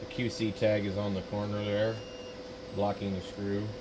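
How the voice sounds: A man speaks at a fairly low pitch with little pitch movement. Background noise is clear. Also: moderate pace.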